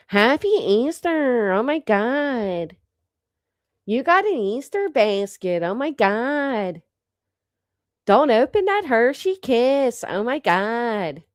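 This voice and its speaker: In a whiny, put-on character voice that sounds female, someone speaks at a high pitch and a very slow pace. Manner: whining, gushing.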